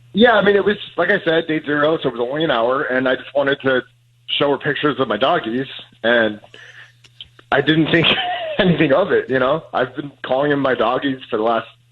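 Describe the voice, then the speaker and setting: Noticeable background noise behind a man's fairly quick speech, its pitch varying in an ordinary way. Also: fairly high pitch for a man. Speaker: caller. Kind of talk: casual chat. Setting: phone call.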